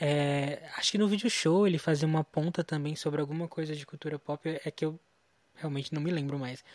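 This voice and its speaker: An unremarkable speaking voice from a man, fairly high in pitch, at a fairly quick pace with fairly even intonation, on a very clean recording with a silent background and a dry, close sound with no echo. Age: 20s. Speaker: pop culture news editor. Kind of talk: casual interview.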